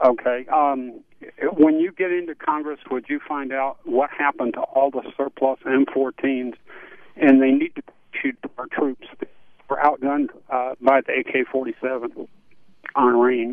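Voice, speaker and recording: Using a plain, everyday voice, a man speaks at a fairly slow pace with a fairly high pitch and fairly even intonation. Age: 60s. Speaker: caller, Vietnam veteran. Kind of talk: radio call-in.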